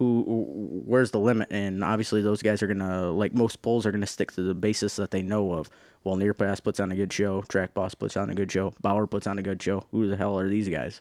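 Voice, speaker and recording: A man with an American accent and a normal speaking voice, fairly low in pitch and fairly quick, with fairly even intonation in a dry, close sound with no echo and a very clean, silent background. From Michigan, Thumb region. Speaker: tractor puller. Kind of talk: casual chat. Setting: studio.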